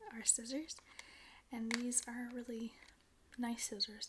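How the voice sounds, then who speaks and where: High in pitch, a woman speaks in a soft-spoken way. Her intonation stays monotone and flat. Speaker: ASMR creator. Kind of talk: ASMR unboxing.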